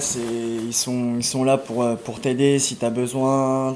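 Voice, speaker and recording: Very slowly and in a flat monotone, a man speaks at a medium pitch. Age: 20s. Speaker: homeless person. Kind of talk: testimony. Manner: halting.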